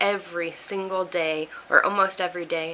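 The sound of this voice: A woman talks at a medium pitch. Her tone is bright and sharp.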